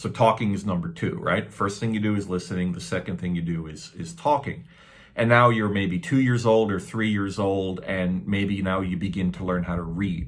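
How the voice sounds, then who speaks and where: Speaking in a normal speaking voice with a Canadian accent, a man keeps a moderate pace, a fairly low pitch and ordinary pitch variation. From Canada. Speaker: English teacher. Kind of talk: tutorial. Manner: casual, repetitive with fillers.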